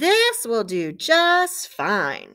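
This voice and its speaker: In a very clean recording with a silent background, a woman performs a put-on character voice at an extremely high pitch. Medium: read story.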